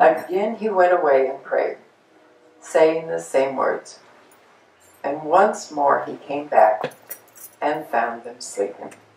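A woman at a very slow pace with long, frequent pauses, audible room echo around her. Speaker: class participant. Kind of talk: group discussion. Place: meeting room.

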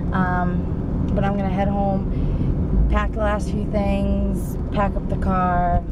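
Loud background noise under a woman's voice. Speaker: parent vlogger. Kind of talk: casual vlog chat. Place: car. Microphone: phone near.

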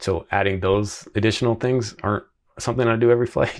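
Fairly quick speech comes from a man with a fairly bright tone. His intonation is fairly even.

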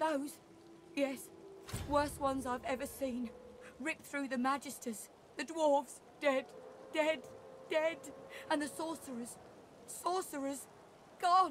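A shaky, put-on character voice speaks at a high pitch and a fairly slow pace. Long pauses come often, over light background noise.

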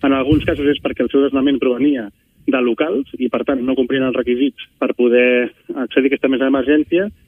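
The pace is fairly quick. It is an unremarkable speaking voice. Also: man. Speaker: housing activist spokesperson. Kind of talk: radio interview. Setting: phone call.

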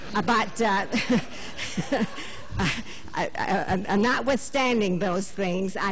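A woman's voice at medium pitch. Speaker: citizen at public meeting. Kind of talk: audience question at public meeting. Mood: earnest, mildly indignant. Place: hall.

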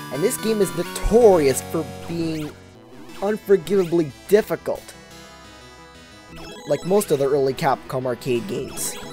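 Music plays in the background as the speaker talks at a fairly slow pace. There are long, frequent pauses. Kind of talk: gameplay commentary. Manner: occasional slight stuttering.

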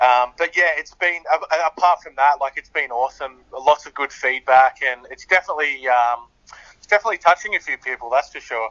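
A man with an Australian accent at a fairly quick pace, his fairly high-pitched voice showing ordinary pitch variation and big swings in loudness. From Australia, Sydney. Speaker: singer-songwriter. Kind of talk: interview.

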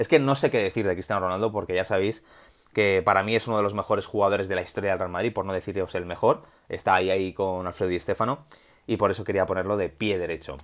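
Very fast delivery with fairly even intonation against a quiet background. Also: man, fairly low pitch for a man. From Spain. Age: 30s. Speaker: football YouTuber; football commentator vlogger. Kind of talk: solo video commentary. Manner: improvised. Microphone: earbuds.

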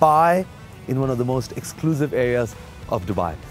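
A man at a moderate pace in a dry sound with no echo, faint music in the background. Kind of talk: property tour commentary. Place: street. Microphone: lapel.

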